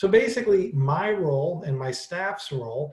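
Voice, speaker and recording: A man with an American accent speaks at a high pitch. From Wisconsin. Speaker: librarian. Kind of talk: webinar presentation. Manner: fast.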